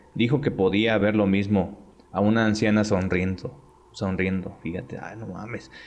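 A man with a fairly low pitch, fairly even intonation and a moderate pace. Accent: Mexican. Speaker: podcast host. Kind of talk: reading aloud.

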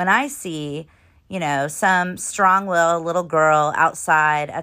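On a very clean recording with a silent background, a woman speaks at a very slow pace in a fairly low pitch, her tone bright and sharp and her intonation fairly even. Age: 40s. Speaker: podcast host, parenting coach. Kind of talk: solo podcast monologue. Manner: casual, conversational.

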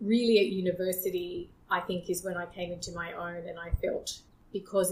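A woman's medium-pitched, somewhat breathy voice with an Australian accent, moderate in pace, monotone and flat in intonation. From Australia, small town near Sydney. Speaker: podcast guest. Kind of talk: casual interview.

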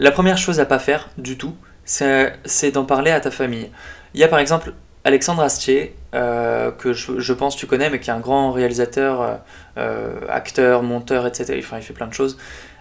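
A man speaks at a medium pitch. His pace is moderate and his intonation fairly even. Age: 20s. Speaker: podcast host, entrepreneur. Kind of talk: solo monologue podcast. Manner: casual with frequent hesitations.

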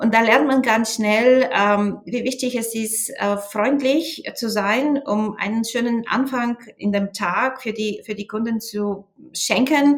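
At a very slow pace, a woman speaks in a Bulgarian accent. Her pitch is fairly high, with ordinary variation. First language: Bulgarian (speaking German). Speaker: sales manager. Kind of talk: interview. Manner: hesitant with fillers.

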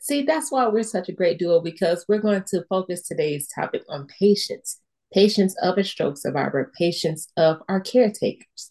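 A woman with a medium pitch speaks in a plain, everyday voice. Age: young. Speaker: stroke survivor podcast host. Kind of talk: casual chat. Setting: video call.

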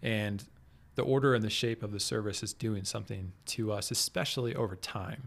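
A man with an American accent and an unremarkable speaking voice talks at a fairly quick pace with fairly even intonation. The recording is very clean, with a silent background. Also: fairly low pitch for a man. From Kansas City area, US Midwest. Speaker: guest, church worship leader. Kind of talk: casual interview chat.

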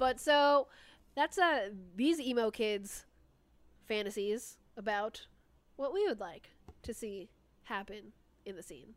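A put-on, robotic character voice moves at a fairly slow pace with big swings in loudness and long, frequent pauses, on a very clean recording with a silent background. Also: woman, fairly high pitch for a woman. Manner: robotic, stiff delivery; pointed.

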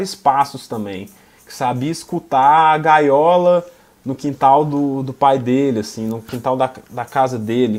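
Here is a man with an unremarkable speaking voice, fairly high in pitch with ordinary pitch variation. His pace is fairly slow. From Minas Gerais. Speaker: filmmaker. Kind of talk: panel discussion.

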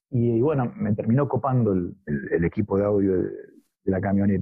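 The man speaks at a fairly slow pace. His voice is somewhat breathy. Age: 50s. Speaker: musician. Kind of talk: interview.

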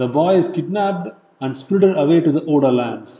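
A man with a Tamil accent speaks at a fairly quick pace, his pitch high for a man and his intonation lively. His tone is dark and mellow yet dramatic. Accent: Indian English, Tamil-accented. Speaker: history podcast narrator. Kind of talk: scripted history documentary narration, storytelling. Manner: dramatic, measured storytelling pace, building suspense; animated, conversational, with rhetorical flourishes.

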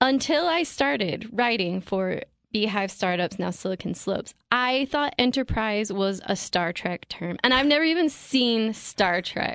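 With very wide pitch swings and hardly any pauses, a woman speaks at a fairly slow pace in a fairly high pitch. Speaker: podcast co-host and tech writer. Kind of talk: casual chat. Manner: formal announcer style in the intro.

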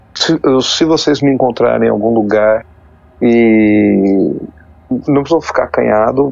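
Noticeable background noise under a man's fairly slow speech. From Brazil, São Paulo state and Poços de Caldas, Minas Gerais. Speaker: YouTuber documenting tabletop RPG history. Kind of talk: casual interview. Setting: online call recorded on Discord. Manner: halting, many repetitions and fillers.

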